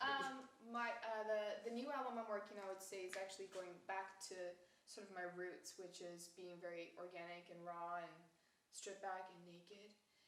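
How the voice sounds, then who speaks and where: There is audible room echo and noticeable background noise. A woman speaks at a moderate pace with fairly even intonation. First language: Japanese. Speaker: singer-songwriter and YouTuber. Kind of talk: casual comedic interview.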